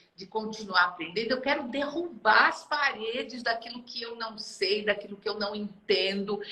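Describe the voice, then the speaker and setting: With lively intonation and a fairly high pitch, a woman talks at a fairly slow pace over noticeable background noise. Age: 70s. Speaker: retired HR director, art course student. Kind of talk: casual interview.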